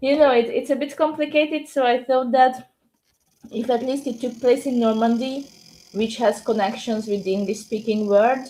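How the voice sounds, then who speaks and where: A woman's high-pitched voice with a dark, mellow tone, in a Hungarian accent, at a moderate pace and with fairly even intonation. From Hungary. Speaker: novelist and English teacher. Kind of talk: podcast interview.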